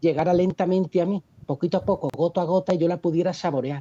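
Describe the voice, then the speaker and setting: Dark and mellow in tone, a man's high voice races along very fast. The sound is dry and close, with no echo. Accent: Andalusian. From Seville, Andalusia, Spain. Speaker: economist, video creator. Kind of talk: interview.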